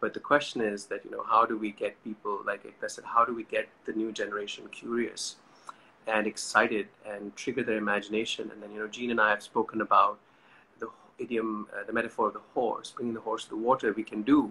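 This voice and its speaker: Over light background noise, a man speaks at a fairly quick pace. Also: big swings in loudness. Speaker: session host. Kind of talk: casual talk introducing a live chat. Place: home room. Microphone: phone near.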